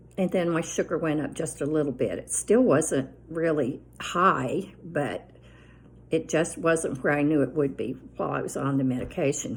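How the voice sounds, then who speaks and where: Vocal fry marks a woman's very deep, low voice, which has ordinary pitch variation and a moderate pace. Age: 70s. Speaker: lifestyle vlogger. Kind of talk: casual chat. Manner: rambling conversational with fillers.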